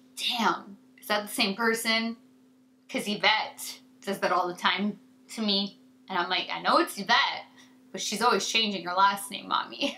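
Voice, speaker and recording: The voice has an animated tone with big swings in loudness and ordinary pitch variation. It moves at a moderate pace over noticeable background noise. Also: woman, medium pitch for a woman. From Canada. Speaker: beauty YouTuber. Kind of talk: casual chat to camera.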